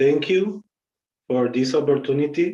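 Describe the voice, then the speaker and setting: Dark and mellow in tone, this voice with an Argentine accent moves at a fairly slow pace with ordinary pitch variation. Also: man. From Argentina. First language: Spanish. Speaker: yoga teacher. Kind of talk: lecture. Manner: halting.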